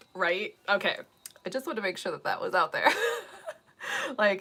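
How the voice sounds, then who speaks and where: Bright and sharp in tone, a woman with an American accent makes very wide pitch swings. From US Midwest, Ohio. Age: 40s. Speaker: makeup and wig vlogger. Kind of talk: casual chat.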